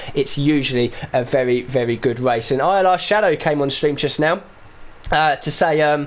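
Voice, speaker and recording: A man speaks at a moderate pace with a fairly high pitch and ordinary pitch variation. His loudness stays very even. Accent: East London. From East London. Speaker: esports racing commentator. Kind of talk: live commentary.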